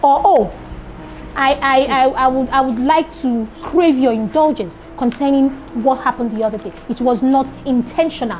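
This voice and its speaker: Speaking at a moderate pace with a Nigerian accent, the voice shows ordinary pitch variation while music plays in the background. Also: woman, high pitch for a woman. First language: Yoruba. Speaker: teacher trainer. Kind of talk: lecture.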